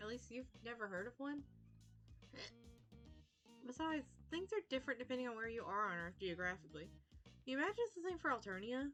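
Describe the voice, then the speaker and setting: A woman at a fairly quick pace, with long, frequent pauses, very wide pitch swings, and music in the background. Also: fairly high pitch for a woman. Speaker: VTuber streamer. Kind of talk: reading a visual novel aloud on stream.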